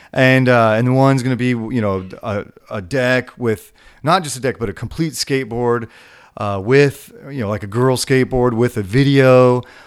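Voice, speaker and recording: A man speaks in an unremarkable speaking voice at medium pitch. His intonation is fairly even and his pace moderate. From California. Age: 40s. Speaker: skate shop owner. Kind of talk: interview. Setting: studio.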